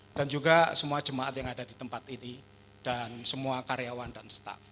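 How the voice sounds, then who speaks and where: Speech comes at a very fast pace. The tone sounds bright and sharp. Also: man. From Java. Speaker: pastor. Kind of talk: sermon. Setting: church.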